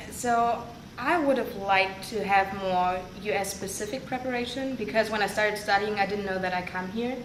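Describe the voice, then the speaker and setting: Someone with a German accent speaks at a moderate pace. There is audible room echo and noticeable background noise. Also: woman, medium pitch for a woman, ordinary pitch variation. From northern Germany. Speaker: international student and teaching assistant. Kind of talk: interview. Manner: hesitant, with fillers.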